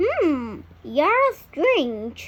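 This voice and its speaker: Using a put-on character voice, a woman sounds squeaky and high-pitched, with very wide pitch swings. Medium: read story.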